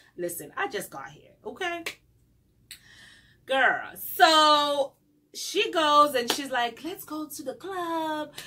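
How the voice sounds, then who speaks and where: Bright and sharp in tone, a woman's high, raised, projected voice carries lively intonation and big swings in loudness. She speaks at a very slow pace, with long, frequent pauses. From South Africa. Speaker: YouTuber, former au pair. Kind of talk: story time vlog. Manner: animated.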